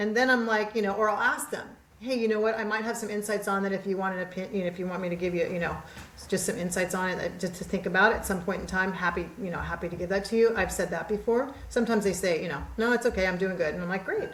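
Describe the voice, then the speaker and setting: Over noticeable background noise and audible room echo, a woman talks at a very fast pace. Her tone is animated and her pitch is medium. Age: 60s. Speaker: podcast guest, mindset coach. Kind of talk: casual chat.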